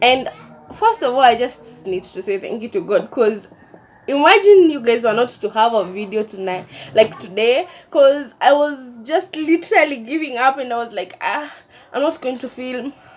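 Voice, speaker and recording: Over noticeable background noise, a woman speaks at a high pitch with lively intonation. Her loudness swings widely. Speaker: vlogger. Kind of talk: casual chat. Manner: slow.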